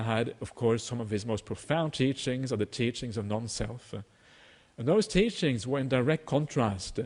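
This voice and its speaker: The man's voice sits at a medium pitch with ordinary variation. He talks at a moderate pace. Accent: Norwegian. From Norway. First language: Norwegian. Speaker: Buddhist teacher. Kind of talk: dharma talk. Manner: halting, many fillers.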